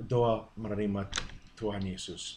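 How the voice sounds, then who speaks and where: A somewhat breathy man talks at a fairly slow pace with audible room echo. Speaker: preacher. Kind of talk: sermon-style teaching. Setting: video to camera. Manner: halting.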